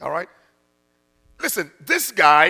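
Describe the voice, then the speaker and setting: An animated, raised, projected voice at a fairly slow pace. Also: man. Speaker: preacher. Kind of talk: sermon. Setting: church. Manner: animated, urgent, call-and-response exhortation; punchy, laughing, conversational.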